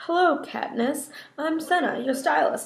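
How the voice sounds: Using a put-on character voice, a woman speaks quietly at a high pitch, at a moderate pace with fairly even intonation.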